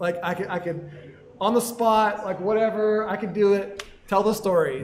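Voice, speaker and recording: Audible room echo surrounds a man's high voice. His pitch varies in an ordinary way. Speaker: podcast co-host. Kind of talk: live podcast chat. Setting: live recording with audience at a venue. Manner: mumbling.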